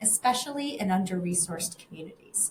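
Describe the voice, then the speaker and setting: A somewhat breathy woman's voice rises and falls in very wide pitch swings. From family emigrated from Russia to the US. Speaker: interview host, communications director. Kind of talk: interview. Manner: scripted introduction.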